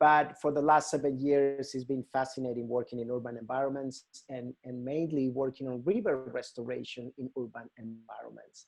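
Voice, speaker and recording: Music plays in the background as a man with a Mexican accent speaks at a moderate pace with hardly any pauses. His voice is medium in pitch, with fairly even intonation. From Mexico, Hermosillo, Sonora. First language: Spanish. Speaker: nonprofit river restoration educator. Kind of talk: presentation to a volunteer group. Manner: halting, many fillers.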